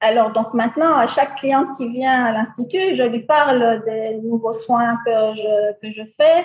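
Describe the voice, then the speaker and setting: Speaking at a fairly slow pace, a woman with an unremarkable speaking voice uses a fairly high pitch and ordinary pitch variation. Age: 60s. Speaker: beautician, salon owner. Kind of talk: interview testimony.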